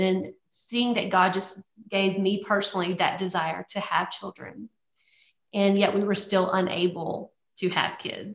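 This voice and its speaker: Speaking with a Louisiana accent, a woman talks at a moderate pace. Her pitch sits in the medium range. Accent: Louisiana Southern. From US South, Louisiana. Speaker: missionary. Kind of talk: testimony.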